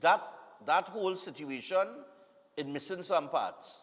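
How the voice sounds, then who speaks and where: A man speaks with a Trinidadian accent. His pitch is high. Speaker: morning TV show host. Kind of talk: live TV birthday greetings and chat. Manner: casual, conversational.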